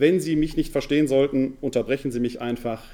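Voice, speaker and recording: Speaking very fast with a Ruhr accent, a man has a dark, mellow tone. His pitch is medium with ordinary variation. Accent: Ruhr area German. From Ruhr area, Essen. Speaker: New Testament scholar and pastoral worker. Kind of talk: lecture. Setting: lecture hall with audience.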